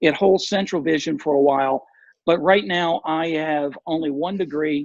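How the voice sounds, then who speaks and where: The speaker talks fairly slowly in a normal speaking voice, with ordinary pitch variation. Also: man. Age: 60s. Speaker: visually impaired artist and nonprofit advocate. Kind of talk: interview.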